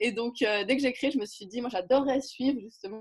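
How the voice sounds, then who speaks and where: A woman talks at a fairly quick pace. Her voice is high, with ordinary pitch variation. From French-speaking region. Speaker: writer and community builder. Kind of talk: interview. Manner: animated.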